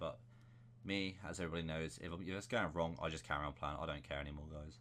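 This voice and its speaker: Very deep, low male voice with vocal fry, very fast pace and ordinary pitch variation. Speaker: gaming YouTuber. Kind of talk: gameplay settings tutorial.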